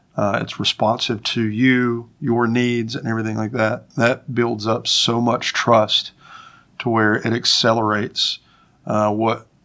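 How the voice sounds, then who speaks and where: At a moderate pace, a man speaks at a medium pitch with a bright, sharp tone and fairly even intonation. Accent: slight Appalachian. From Winston-Salem, North Carolina. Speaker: farm network coordinator. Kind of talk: casual interview conversation.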